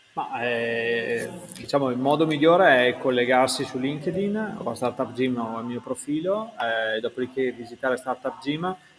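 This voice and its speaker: Over noticeable background noise, a man with a medium pitch talks at a fairly slow pace with lively intonation. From Italy, Verona. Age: 40s. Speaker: startup founder. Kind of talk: interview.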